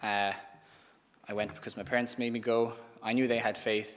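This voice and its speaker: A man's medium-pitched, monotone, flat delivery at a fairly quick pace, with an Irish accent. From Ireland (Thurles, Tipperary). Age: 20s. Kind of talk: testimony. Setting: live-streamed youth event.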